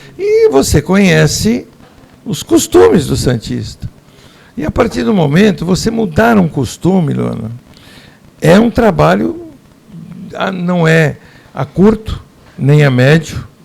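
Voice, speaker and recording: A man speaks at a very slow pace, with long, frequent pauses. Noticeable background noise sits behind him. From Santos, São Paulo state, Brazil. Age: 60s. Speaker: business association president. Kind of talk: interview.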